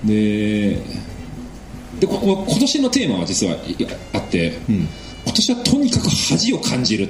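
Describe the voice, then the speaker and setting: The speech moves at a fairly slow pace with long, frequent pauses. Noticeable background noise and audible room echo surround it. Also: man. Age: 30s. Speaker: preventive medicine researcher. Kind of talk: casual chat.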